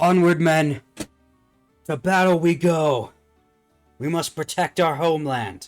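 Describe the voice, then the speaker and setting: A man's put-on character voice, fairly high in pitch, at a fairly slow pace with long, frequent pauses and faint music in the background. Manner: stern, commanding.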